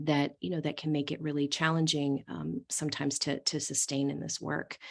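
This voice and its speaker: With an American accent, a woman speaks at a very deep, low pitch. Her voice carries vocal fry and fairly even intonation. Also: fairly quick pace. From US East Coast. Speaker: social work field educator. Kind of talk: training presentation.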